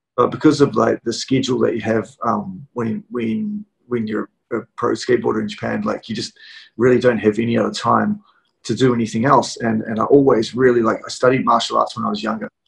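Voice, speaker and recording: A man with a New Zealand accent, at a fairly quick pace. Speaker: cooking channel host. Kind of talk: casual interview. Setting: video call. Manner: halting, many fillers.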